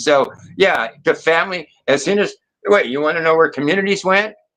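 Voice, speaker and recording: A man's bright, sharp tone at a fairly quick pace. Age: 60s. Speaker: live stream panel participant. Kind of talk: casual chat. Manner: rambling, animated.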